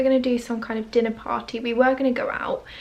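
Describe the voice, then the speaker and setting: Fairly quick, monotone, flat speech over noticeable background noise. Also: woman. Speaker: lifestyle vlogger. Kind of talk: vlog to camera. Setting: at home. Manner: quiet; casual, chatty.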